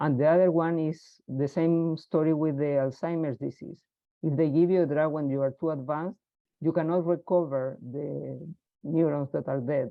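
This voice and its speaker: A woman's very deep, low voice with a Spanish accent, fairly even intonation and a moderate pace. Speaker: research scientist. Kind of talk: webinar Q&A.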